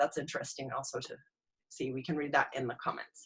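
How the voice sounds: A woman's husky voice with a rough edge, a fairly bright tone and a fast pace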